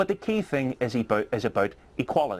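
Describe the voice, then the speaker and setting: Speaking with a Belfast accent, a man lets his pitch swing very widely. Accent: Belfast, Northern Irish. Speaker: politician. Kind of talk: heated debate. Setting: TV studio.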